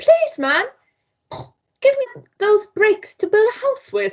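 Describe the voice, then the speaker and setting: Put on as a character, this squeaky, extremely high-pitched voice moves at a fairly slow pace. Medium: read story.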